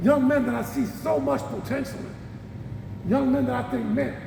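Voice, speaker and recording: Noticeable noise fills the background while a man speaks, and the room's echo is audible. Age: 60s. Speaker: former college and pro basketball player, league president. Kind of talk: motivational speech.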